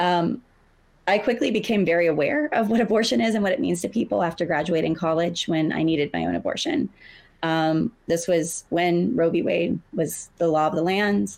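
In an American accent, a woman with an unremarkable speaking voice talks at a moderate pace and fairly low pitch, using lively intonation and very even loudness, on a very clean recording with a silent background. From US South. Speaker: abortion fund deputy director. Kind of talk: panel discussion. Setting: stage with audience.

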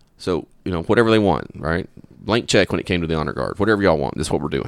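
A man with a Southern US accent, very fast pace, vocal fry and ordinary pitch variation. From Louisiana. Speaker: police officer. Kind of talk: interview.

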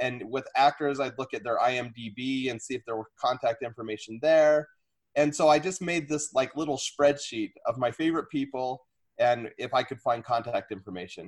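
A man speaks at a moderate pace with medium pitch. He has an unremarkable speaking voice with ordinary pitch variation. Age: 40s. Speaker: fifth grade teacher. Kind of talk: casual interview.

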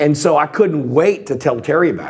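With a Texan accent, a man speaks at a moderate pace in a fairly high pitch with lively intonation. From US South, Texas Gulf Coast. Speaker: ex-pilot and convicted fraudster. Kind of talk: testimony.

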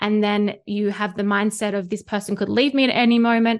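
An Australian accent at a moderate pace, against a quiet background. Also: woman. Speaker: spiritual mentor and tarot reader. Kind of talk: casual interview conversation.

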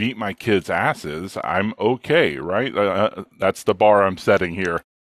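In a dry, close recording with no echo and a silent background, a man with a normal speaking voice talks at a moderate pace, his fairly low pitch carrying lively intonation. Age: 40s. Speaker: ADHD coach. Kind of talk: casual interview.

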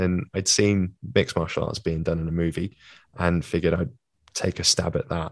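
In a British accent, a man speaks at a moderate pace with a very deep, low voice, the sound dry and close with no echo. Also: quiet background. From UK. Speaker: physiotherapist and former mixed martial artist. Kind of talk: interview conversation.

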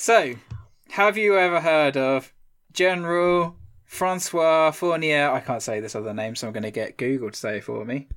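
In a very clean recording with a silent background, a man with an ordinary speaking voice and a fairly high pitch talks at a moderate pace with lively intonation. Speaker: history podcast host. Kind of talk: casual chat with storytelling.

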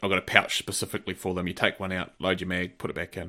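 In a very clean recording with a silent background, a man with a New Zealand accent talks very fast in a very deep, low pitch, his tone bright and sharp with vocal fry. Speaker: podcast co-host, shooting competitor. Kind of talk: casual chat.

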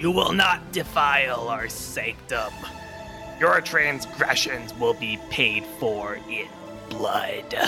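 A man puts on a character voice at a medium pitch, speaking at a very slow pace while music plays clearly in the background.

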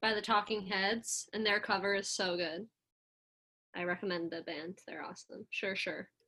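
A woman speaks at a moderate pace. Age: 20s. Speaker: podcast guest, cousin of a host. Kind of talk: casual chat. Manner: animated.

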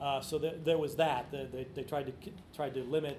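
A man with an American accent speaks very fast in a monotone, flat delivery. There is audible room echo and noticeable background noise. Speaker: author and sports writer. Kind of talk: book talk interview. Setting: live event with audience.

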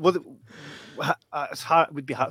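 The sound is dry and close with no echo as a man with a Scottish accent speaks at a fairly slow pace. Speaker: podcast host. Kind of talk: live podcast interview.

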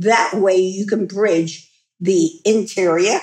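With fairly even intonation, the woman talks at a medium pitch. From New York. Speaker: feng shui consultant and podcast host. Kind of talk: solo lifestyle talk.

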